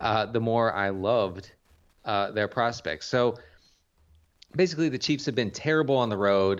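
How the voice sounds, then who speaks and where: Over a quiet background, a man speaks at a medium pitch. His pace is moderate, with ordinary pitch variation. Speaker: fantasy football podcast co-host. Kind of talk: casual banter podcast. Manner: rambling, halting.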